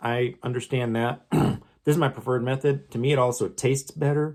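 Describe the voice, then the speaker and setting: This man has an ordinary speaking voice with medium pitch. He talks fairly slowly with fairly even intonation. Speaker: home cooking tutorial host. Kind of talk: casual talk to camera.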